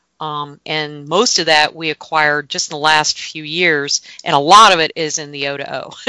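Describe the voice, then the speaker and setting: With an American accent, a woman talks at a moderate pace in a very deep, low pitch with a bright, sharp tone, fairly even intonation and hardly any pauses. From North Florida, Gainesville. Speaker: land conservation program manager. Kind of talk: interview.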